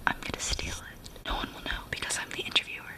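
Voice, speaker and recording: A woman whispers quietly at a moderate pace. Noticeable background noise can be heard. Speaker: playful vlogger. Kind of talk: casual vlog chat. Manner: hushed, secretive near-whisper. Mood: playful, conspiratorial. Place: home room. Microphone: phone near.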